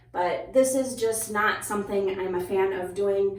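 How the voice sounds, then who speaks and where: A woman speaks in an Upper Midwestern accent. Room echo is audible, and there is noticeable background noise. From US upper Midwest. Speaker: hairstylist and beauty YouTuber. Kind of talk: product review tutorial. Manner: casual, conversational.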